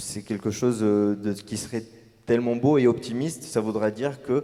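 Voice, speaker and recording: A man's medium-pitched voice with a dark, mellow tone, fairly even intonation and a moderate pace. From Tunisia. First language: Arabic (speaking French). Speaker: novelist. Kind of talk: panel discussion. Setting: stage with audience. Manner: hesitant, many fillers.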